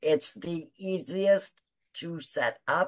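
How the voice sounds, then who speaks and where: A woman talks at a very slow pace in a fairly low-pitched voice. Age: 60s. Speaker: online business owner. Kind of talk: testimony. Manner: animated.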